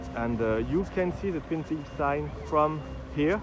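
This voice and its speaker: Against noticeable background noise, a man speaks in a French accent at a fairly high pitch. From France. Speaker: film fan guide. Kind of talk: on-location walking tour. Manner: halting.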